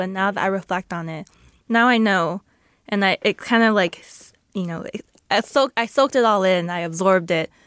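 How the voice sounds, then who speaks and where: A woman speaks in an ordinary speaking voice at a fairly quick pace. The sound is dry and close with no echo. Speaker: radio journalist and community coordinator. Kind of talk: casual chat. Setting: studio.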